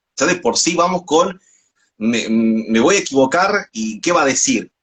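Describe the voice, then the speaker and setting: A man is talking with music in the background. His pitch rises and falls very widely. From northwest Argentina. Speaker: radio announcer and doctoral student. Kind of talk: interview answer.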